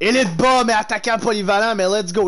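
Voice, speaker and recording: A man speaks with a Quebec accent. His pace is fairly slow. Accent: Québécois French. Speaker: gaming streamer. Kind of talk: live game streaming with chat; live game commentary. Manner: animated. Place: home room. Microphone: headset.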